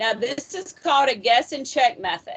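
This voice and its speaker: Loud and high-pitched, a woman's voice fills the clip. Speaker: math instructor. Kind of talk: lecture.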